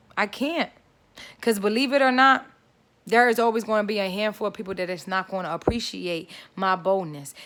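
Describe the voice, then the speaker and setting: A woman with a medium pitch talks at a fairly quick pace in an animated tone with lively intonation, on a very clean recording with a silent background. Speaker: faith vlogger. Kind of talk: motivational vlog monologue. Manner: loud.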